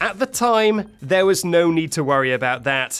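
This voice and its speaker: Moderate in pace, the speaker talks with a British accent. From UK. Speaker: gaming streamer, video narrator. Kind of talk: narrated gameplay commentary. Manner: animated.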